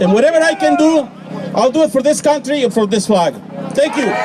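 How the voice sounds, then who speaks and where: The speech moves at a fairly quick pace with ordinary pitch variation. Crowd noise can be heard in the background. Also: man. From Mexico. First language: Spanish. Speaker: rally speaker. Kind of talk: public speech.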